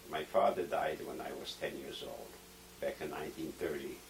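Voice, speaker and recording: Noticeable background noise runs under the recording. A man talks at a fairly slow pace. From Poland. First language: Polish. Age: 70s. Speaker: Holocaust survivor. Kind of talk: oral history interview.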